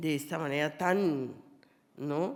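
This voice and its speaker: A woman speaks at a very deep, low pitch. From Colombia. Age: 70s. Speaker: poet and novelist. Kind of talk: public conversation on stage.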